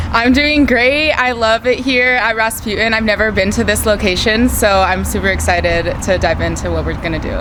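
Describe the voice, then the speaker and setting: Amid noticeable background noise and audible room echo, a woman talks at a fairly quick pace with hardly any pauses. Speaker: college radio co-host, recent graduate. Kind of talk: interview. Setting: record store. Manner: halting, many fillers.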